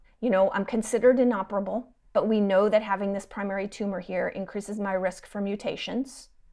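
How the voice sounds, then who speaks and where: Her medium-pitched voice has a dark, mellow tone and monotone, flat intonation. The woman talks at a very fast pace with hardly any pauses. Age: 40s. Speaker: physician. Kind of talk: interview.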